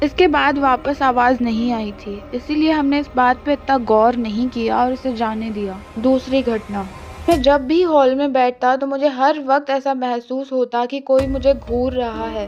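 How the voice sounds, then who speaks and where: With music in the background, a woman speaks in a high pitch with fairly even intonation and hardly any pauses. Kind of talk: horror story narration.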